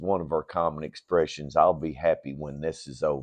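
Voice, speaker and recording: Vocal fry in a man's voice. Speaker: ministry leader. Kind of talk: inspirational message. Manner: slow; conversational, halting.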